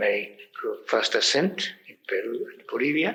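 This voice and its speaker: The man's speech moves at a very slow pace. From Japan. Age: 70s. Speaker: mountaineer and explorer. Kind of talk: interview. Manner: halting, frequent fillers.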